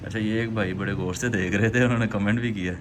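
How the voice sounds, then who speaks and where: A man speaks at medium pitch and a moderate pace. Audible room echo is present. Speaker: fitness vlogger. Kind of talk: casual vlog.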